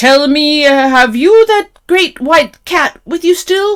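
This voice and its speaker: This put-on character voice is gruff, loud and high-pitched. It moves at a fairly slow pace. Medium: read story. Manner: loud, gruff.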